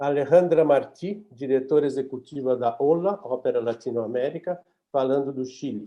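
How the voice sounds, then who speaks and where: A man with a normal speaking voice talks at a moderate pace in a fairly high pitch with ordinary pitch variation. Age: 60s. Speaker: webinar moderator, opera festival artistic director. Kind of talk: webinar moderation. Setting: video call from home office.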